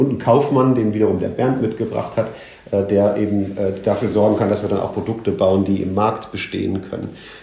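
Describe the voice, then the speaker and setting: Over noticeable background noise and audible room echo, a man with a fairly low pitch talks at a fairly quick pace with fairly even intonation. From Germany, Sauerland (born in Leipzig). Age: 50s. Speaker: tech entrepreneur, head of innovation agency. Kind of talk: interview.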